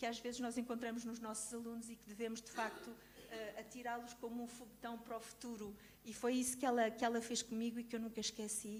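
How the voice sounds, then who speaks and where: A woman speaks very fast at a fairly high pitch, her intonation monotone and flat, her loudness swinging widely, with audible room echo and noticeable background noise. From Portugal, Lisbon. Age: 60s. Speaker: choreographer and teacher. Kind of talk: testimony. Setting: conference with audience. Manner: hesitant, many fillers.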